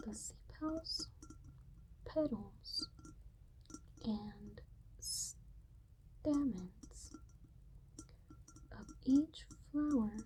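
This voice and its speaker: The whispering is soft-spoken and very slow, broken by long, frequent pauses. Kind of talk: ASMR ramble about flowers and plant biology. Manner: soft-spoken to whispering, slow and relaxing.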